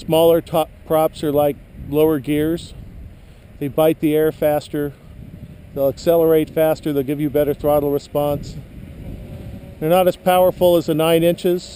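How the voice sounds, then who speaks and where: Long, frequent pauses break up a man's monotone, flat speech at a moderate pace. Noticeable background noise runs underneath. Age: 60s. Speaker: hobbyist drone pilot. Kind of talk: tutorial. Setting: outdoors. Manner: casual.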